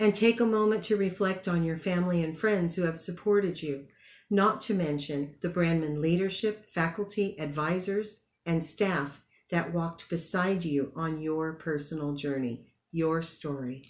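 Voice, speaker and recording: A woman talks at a moderate pace in an ordinary speaking voice. Her pitch is fairly low, with ordinary variation. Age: 60s. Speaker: graduate. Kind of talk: commencement speech.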